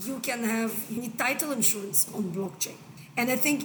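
Over noticeable background noise, a woman speaks with a fairly high pitch. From Israel. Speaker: angel investor. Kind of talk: interview.

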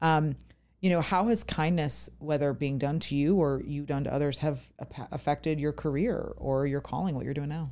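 Very deep and low in pitch, this woman's voice has a dark, mellow tone and ordinary pitch variation. She keeps a moderate pace on a very clean recording with a silent background. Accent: American. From US Virginia. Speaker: podcast host. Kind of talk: casual interview chat. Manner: excited, chatty.

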